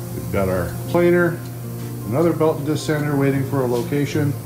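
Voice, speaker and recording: A man talks at a fairly quick pace while clear music is heard behind him. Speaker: program instructor giving tour. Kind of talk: casual tour commentary. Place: workshop. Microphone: phone near.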